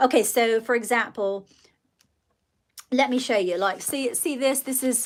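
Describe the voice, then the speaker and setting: Slowish and broken by long, frequent pauses, a woman's high voice carries a slight British accent. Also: ordinary pitch variation. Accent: slight British RP touches. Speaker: livestreamer and children's author. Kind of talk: casual livestream chat. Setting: live stream reading viewer comments.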